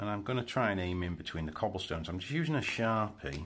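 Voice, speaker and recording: This man speaks at a moderate pace with ordinary pitch variation. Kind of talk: tutorial. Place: home room.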